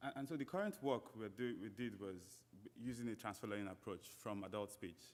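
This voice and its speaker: A man with a Nigerian accent speaks at a fairly quick pace. His pitch is fairly low, with ordinary variation. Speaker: PhD researcher, conference speaker. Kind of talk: conference keynote talk. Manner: hesitant, many fillers and repetitions.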